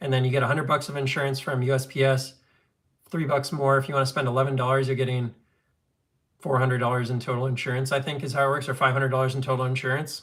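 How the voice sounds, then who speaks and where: In an American accent, a man speaks at a very fast pace and medium pitch with monotone, flat intonation, on a very clean recording with a silent background. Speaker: knife collector streamer. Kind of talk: live stream chat. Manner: casual, filler-heavy.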